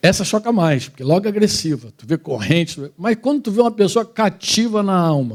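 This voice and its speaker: A man speaks at a high pitch and a fairly quick pace, with very wide pitch swings and big swings in loudness. The recording is very clean, with a silent background. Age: 60s. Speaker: preacher. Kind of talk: sermon. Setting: church women's gathering with audience.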